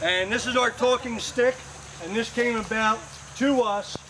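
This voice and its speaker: Noticeable background noise runs under the recording. A man speaks at a fairly slow pace. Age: 50s. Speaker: groom and interfaith ministry student. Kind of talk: wedding ceremony speech. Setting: outdoors at a church wedding. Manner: halting, many fillers. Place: garden. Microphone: camera far.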